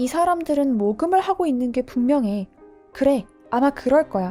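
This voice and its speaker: Lively intonation moves at a moderate pace with music in the background. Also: woman. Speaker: teacher and audiobook narrator. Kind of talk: audiobook narration, bilingual Korean-English, sleep listening.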